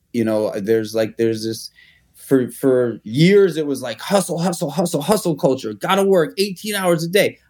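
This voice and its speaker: With a New York accent, a man speaks at a moderate pace while his pitch swings very widely. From New York City (Manhattan). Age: 40s. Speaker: restaurateur and entrepreneur. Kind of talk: interview. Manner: casual, with frequent repetitions and fillers.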